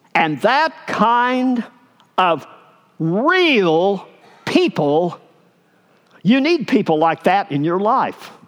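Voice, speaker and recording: Very wide pitch swings mark this very slow speech in an Arkansas accent. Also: man. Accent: Southern US (Arkansas). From US South, Arkansas. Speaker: pastor. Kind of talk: sermon. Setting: church.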